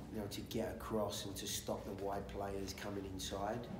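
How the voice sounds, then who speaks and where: Over noticeable background noise, a man speaks. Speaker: football coach. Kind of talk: press conference answer. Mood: calm, measured. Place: hall.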